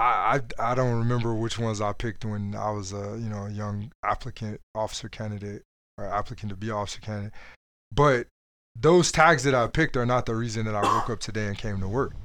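A man talks at a very fast pace. His voice sits at a medium pitch with fairly even intonation. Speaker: Marine Corps officer. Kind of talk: casual chat.

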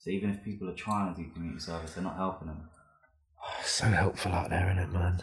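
A man with a London accent talks at a very fast pace in a very deep, low voice. His delivery is somewhat breathy, with monotone, flat intonation. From West London. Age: 20s. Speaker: graffiti artist and photographer. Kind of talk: casual chat. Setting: studio.

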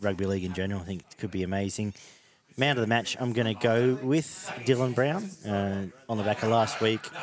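Over noticeable background noise, a man speaks at a fairly quick pace with an Australian accent. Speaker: rugby league podcast host. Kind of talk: casual chat.

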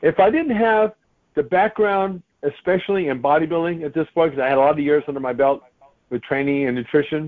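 A man talks in an ordinary speaking voice at a fairly quick pace. His pitch is fairly high, with ordinary pitch variation. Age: 60s. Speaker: author and bodybuilding trainer. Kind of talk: casual interview. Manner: conversational, filler-heavy.

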